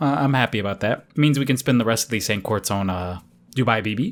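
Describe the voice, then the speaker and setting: A man talks here. Behind him, music is playing. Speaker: gaming YouTuber. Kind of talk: casual gacha-roll commentary. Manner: kept down, quieter due to late hour; hesitant, many fillers.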